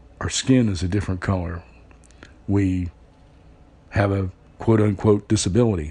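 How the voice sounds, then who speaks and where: Somewhat breathy and fairly low in pitch, a man speaks in a dark, mellow tone at a moderate pace, with fairly even intonation and long, frequent pauses. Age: 60s. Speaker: blind factory worker and part-time radio announcer. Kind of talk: personal testimony. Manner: conversational, with frequent fillers.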